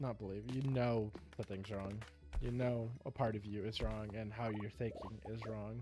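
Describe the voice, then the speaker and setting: Over music in the background, a man mumbles at a fairly slow pace. His voice sits at a medium pitch with ordinary pitch variation. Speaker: gaming video creator. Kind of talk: rambling personal talk about emotions. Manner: mumbled, slurred words.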